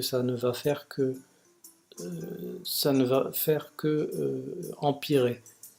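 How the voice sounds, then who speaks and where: Over music in the background, a soft-spoken man talks at a medium pitch. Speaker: vlogger sharing personal experience of depression. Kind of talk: personal video monologue. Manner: slow, soft articulation; halting, many repetitions and hesitations.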